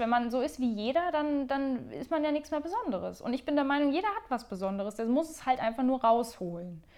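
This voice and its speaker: Her voice is high, with very wide pitch swings. The woman talks at a fairly quick pace with hardly any pauses. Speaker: podcast host and flutist. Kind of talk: casual solo monologue. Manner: unscripted, rambling with fillers.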